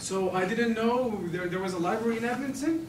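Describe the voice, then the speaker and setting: A man at a fairly slow pace with lively intonation, with audible room echo and noticeable background noise. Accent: Turkish. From Turkey. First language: Turkish. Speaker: language student. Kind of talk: class presentation. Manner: halting, many restarts.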